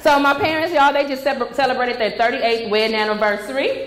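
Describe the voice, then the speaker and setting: A woman's high-pitched voice with ordinary pitch variation over noticeable background noise. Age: 30s. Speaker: stand-up comedian. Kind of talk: stand-up comedy set on stage. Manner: lively, comedic, conversational.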